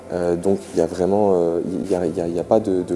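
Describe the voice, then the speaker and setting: Noticeable background noise sits behind a man with a very deep, low pitch who talks at a moderate pace with fairly even intonation. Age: 20s. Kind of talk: interview testimony. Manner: halting, many filler sounds.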